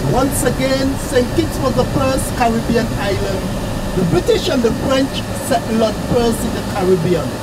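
Moderate-paced speech under loud background noise. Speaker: tour guide or bus driver. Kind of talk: tour guide commentary. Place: bus. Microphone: camera far.

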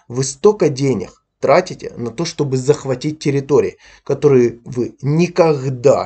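A man with a fairly high pitch and a dark, mellow tone speaks at a fairly slow pace. His voice is somewhat breathy, with ordinary pitch variation. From Ukraine, Donbas. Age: 30s. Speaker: YouTube blogger. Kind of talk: angry video commentary rant. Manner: aggressive.

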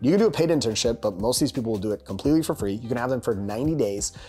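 Faint music plays in the background. Over it, a man speaks at a very fast pace. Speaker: business coach. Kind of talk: tutorial. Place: home room.

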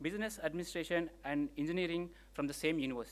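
Speaking at a high pitch, a man uses ordinary pitch variation. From India. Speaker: event emcee. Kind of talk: formal introduction. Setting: stage with audience. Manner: halting. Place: hall. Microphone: podium.

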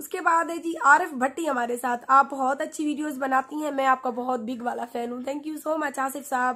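A woman's high, raised, projected voice at a moderate pace, fairly even in intonation, with hardly any pauses and a quiet background. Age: 20s. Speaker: YouTuber; radio host vlogger. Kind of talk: Q&A reading comments to viewers. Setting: sitting in bed under a blanket. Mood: warm, thankful. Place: home room. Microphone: phone near.

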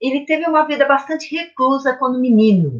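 A somewhat breathy woman at a moderate pace, with very wide pitch swings and a quiet background. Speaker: literature teacher. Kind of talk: lecture. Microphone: webcam.

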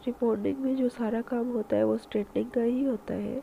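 Fairly quick and fairly high-pitched, a woman talks with vocal fry and fairly even intonation.

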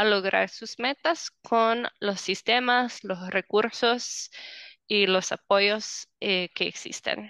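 A woman speaks at a very slow pace with ordinary pitch variation and a bright, sharp tone. The sound is dry and close with no echo, over a quiet background. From United States. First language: English (speaking Spanish). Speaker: housing program director at a nonprofit. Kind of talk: interview.

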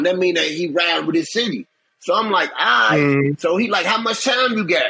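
A man's raised, projected voice, lively in intonation, at a fairly quick pace. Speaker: interview guest. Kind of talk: interview answer, storytelling. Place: home room. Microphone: phone near.

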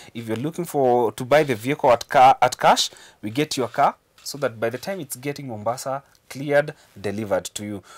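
A man's medium-pitched voice at a moderate pace, with ordinary pitch variation and big swings in loudness against a quiet background. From Kenya. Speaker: car importer, business owner. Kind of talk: news interview. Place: studio. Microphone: lapel.

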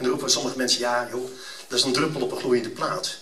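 The speech moves at a very fast pace over noticeable background noise. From Netherlands. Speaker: event speaker. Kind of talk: fervent prayer, read aloud solemnly before an audience; public address to an audience, promotional speech. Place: hall. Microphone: camera far.

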